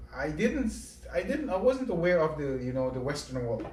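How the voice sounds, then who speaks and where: A man talks at a moderate pace, and echo from the room can be heard. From Grenada. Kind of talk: casual interview.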